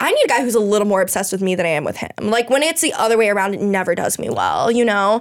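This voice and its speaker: A woman with an American accent talks at a very fast pace, with lively intonation and hardly any pauses, over noticeable background noise. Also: fairly high pitch for a woman. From South Florida (Weston, near Miami). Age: 20s. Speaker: reality TV contestant, criminal justice student. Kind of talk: casual chat.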